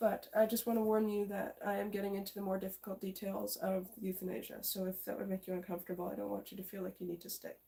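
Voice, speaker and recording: Raspy and middle-pitched, a put-on character voice races at a very fast pace with hardly any pauses. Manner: speaking fast.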